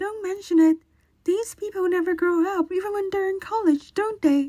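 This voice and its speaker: At a moderate pace, a woman uses a put-on character voice with an extremely high pitch and fairly even intonation. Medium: audio drama.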